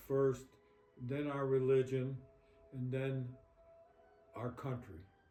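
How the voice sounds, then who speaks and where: Music plays in the background as a man speaks very slowly at a medium pitch. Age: 80s+. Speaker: elderly interviewee. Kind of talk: interview. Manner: halting.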